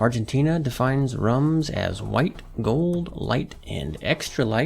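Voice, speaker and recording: Noticeable background noise surrounds a man at medium pitch who talks at a fairly slow pace with very wide pitch swings. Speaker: podcast host. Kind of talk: educational podcast talk. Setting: studio.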